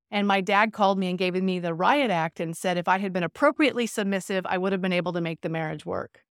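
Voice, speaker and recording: With an American accent, an ordinary speaking voice comes at a fairly quick pace in a dry, close sound with no echo on a very clean recording with a silent background. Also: woman. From California. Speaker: business and sports psychologist. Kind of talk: casual interview.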